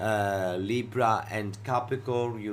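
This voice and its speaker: Audible room echo surrounds a man with a Greek accent speaking at a fairly low pitch. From Greece. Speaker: astrologer. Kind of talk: educational talk show monologue.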